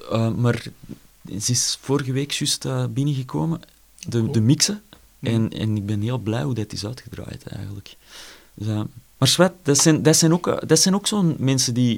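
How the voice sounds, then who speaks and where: The speaker has a Flemish accent and lively intonation, moving at a moderate pace with long, frequent pauses. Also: man. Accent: Flemish Dutch. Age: 30s. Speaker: jazz drummer. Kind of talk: casual interview.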